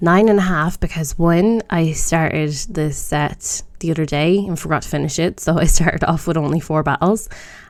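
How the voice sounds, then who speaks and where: Speaking at a fairly quick pace, a woman uses a fairly low pitch and fairly even intonation. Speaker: gaming video creator. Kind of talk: gameplay commentary. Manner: louder than her usual quiet talk; casual, rambling with fillers.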